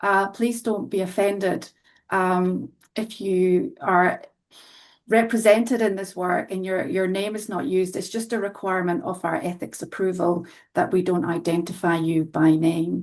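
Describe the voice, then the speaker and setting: A woman with a Scottish accent, ordinary pitch variation and a quiet background. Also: medium pitch for a woman, moderate pace. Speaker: qualitative health researcher. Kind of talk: research presentation.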